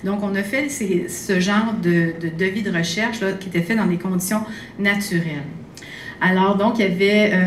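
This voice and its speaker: With audible room echo and light background noise, a woman speaks at a medium pitch with fairly even intonation. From Quebec. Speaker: occupational therapist and researcher; conference speaker. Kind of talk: lecture. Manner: halting. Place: hall. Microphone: podium.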